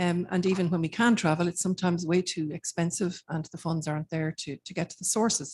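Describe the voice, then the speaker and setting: A woman with an Irish accent speaks at a very fast pace, her fairly low, somewhat breathy voice keeping fairly even intonation in a dry, close sound with no echo. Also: hardly any pauses, big swings in loudness. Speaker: academic researcher. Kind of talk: conference keynote lecture. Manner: hesitant, many fillers.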